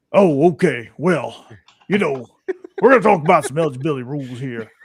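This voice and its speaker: Using a gravelly put-on character voice, a man with a fairly high pitch speaks at a fairly quick pace with lively intonation. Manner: enunciated, coach-like.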